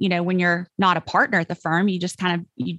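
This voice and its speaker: Against a quiet background, a woman with a Mississippi accent and a medium pitch speaks in a dry, close sound with no echo. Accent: Southern US, Mississippi. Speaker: copywriter, former attorney. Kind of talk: interview answer.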